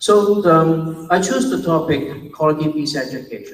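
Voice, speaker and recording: A man speaks with a fairly high pitch. Audible room echo surrounds his voice. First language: Chinese. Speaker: university academic, conference speaker. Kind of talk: conference presentation. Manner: slow, deliberate pace.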